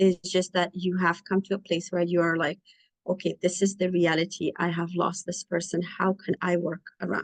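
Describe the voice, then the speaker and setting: Her fairly low-pitched voice stays monotone and flat at a moderate pace. The sound is dry and close, with no echo. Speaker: clinician. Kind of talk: lecture. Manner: halting.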